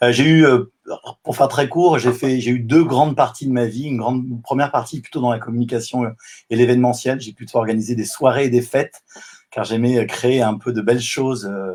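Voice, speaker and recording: In a normal speaking voice of medium pitch, a man talks at a fairly quick pace with fairly even intonation. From southwest France. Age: 50s. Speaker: life coach. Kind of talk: live video interview. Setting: online live stream.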